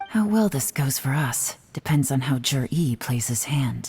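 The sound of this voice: A woman puts on a character voice with an extremely low pitch, a husky, rough edge and a slightly mellow tone. Her intonation is lively, her pace fairly slow, and faint music plays in the background.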